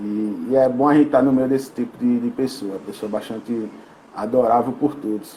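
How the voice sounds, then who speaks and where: A man speaks in an ordinary speaking voice, his pitch medium and his intonation fairly even. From Brazil, Rio Grande do Norte (Mossoró). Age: 20s. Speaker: sport psychologist. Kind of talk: interview podcast.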